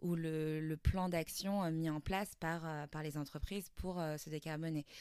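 A woman with a very deep, low pitch speaks at a fairly slow pace with fairly even intonation. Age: 30s. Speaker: start-up founder. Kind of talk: interview. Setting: start-up campus. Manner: hesitant, many fillers.

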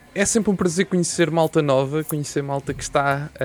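Music can be heard behind the speech. The man keeps a moderate pace. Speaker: podcast host. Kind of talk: interview.

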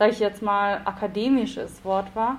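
A woman at a fairly slow pace. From South Tyrol, Italy (Bolzano), Italian-speaking. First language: Italian (speaking German). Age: 20s. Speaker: novelist and academic researcher. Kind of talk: casual interview.

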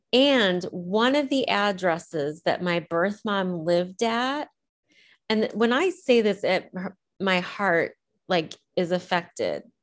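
A woman with a Midwestern US accent, very slow pace, lively intonation and very even loudness, against a quiet background. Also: medium pitch for a woman. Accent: US Midwest. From central Illinois. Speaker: adoptee and writer. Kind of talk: interview.

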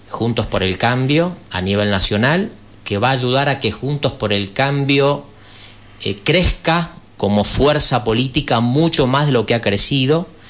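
A man talks with medium pitch and lively intonation. He has an ordinary speaking voice. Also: fairly slow pace. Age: 50s. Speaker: former national legislator, party politician. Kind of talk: radio interview. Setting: radio studio.

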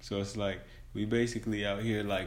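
In a room with audible echo, a man with a fairly low voice talks at a moderate pace with fairly even intonation. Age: 20s. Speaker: podcast co-host. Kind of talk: casual chat.

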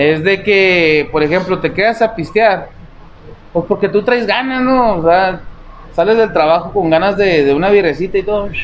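Over noticeable background noise, a man with a high voice speaks animatedly at a moderate pace, keeping his loudness very even and his pitch variation ordinary. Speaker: comedy podcast co-host. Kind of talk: casual chat.

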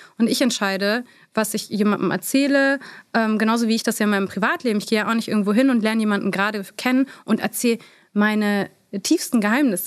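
Speaking at a very fast pace, a woman keeps a fairly high pitch with ordinary pitch variation and very even loudness. The recording is very clean, with a silent background. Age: 30s. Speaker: beauty influencer. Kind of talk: interview.

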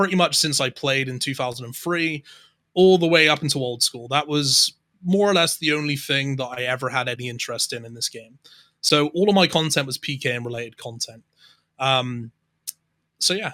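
A bright, sharp tone at a moderate pace with big swings in loudness, in a very clean recording with a silent background. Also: man. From southwest England. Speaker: YouTuber and streamer. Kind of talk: casual chat.

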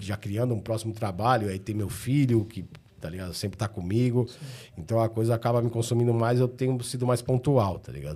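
A man speaks in a somewhat breathy voice, his loudness swinging widely. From São Paulo, Ipiranga. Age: 40s. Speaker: rapper. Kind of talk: casual chat.

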